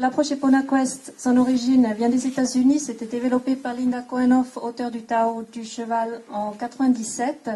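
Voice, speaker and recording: A woman with a non-native accent speaks at a moderate pace in a high, flat, monotone voice. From Switzerland. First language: not French (speaking French). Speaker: equine coaching instructor. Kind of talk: conference talk. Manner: halting.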